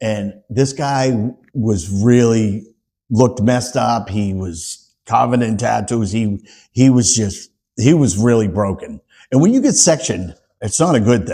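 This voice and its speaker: A man's medium-pitched, dark, mellow voice with an American accent, fairly slow pace and ordinary pitch variation, on a very clean recording with a silent background. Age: 60s. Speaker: EMT and recovering addict. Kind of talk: podcast interview. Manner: halting.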